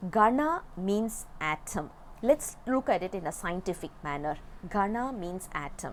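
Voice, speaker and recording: Speech comes in a Tamil accent at a fairly slow pace. The pitch swings very widely. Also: woman. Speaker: religious text teacher. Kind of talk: lecture. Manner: halting, with fillers.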